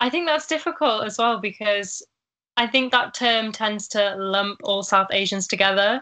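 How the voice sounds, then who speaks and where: Over a quiet background, a woman speaks at a moderate pace in a bright, sharp tone, her fairly high pitch showing ordinary variation. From northern England. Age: 20s. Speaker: university student and Instagram writer. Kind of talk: casual interview.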